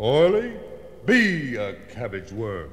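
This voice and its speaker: A man puts on a character voice at a medium pitch. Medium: read story.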